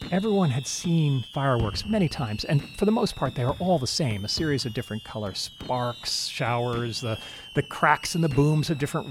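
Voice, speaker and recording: Over noticeable background noise, a man speaks at a moderate pace. His intonation is lively. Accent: American. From Alaska (Anchorage). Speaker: memoir author and narrator. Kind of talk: scripted narration.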